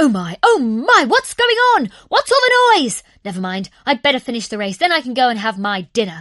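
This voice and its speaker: A woman with a high pitch puts on a character voice and barely pauses at all. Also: moderate pace. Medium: read story. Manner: excitable, boastful.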